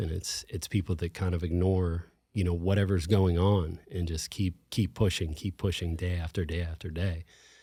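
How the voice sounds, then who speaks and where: With an American accent, a man talks at a moderate pace in a very deep, low pitch with fairly even intonation. His tone is dark, mellow and somewhat breathy, on a very clean recording with a silent background. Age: 40s. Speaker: gym owner, brain tumor survivor. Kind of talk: interview conversation.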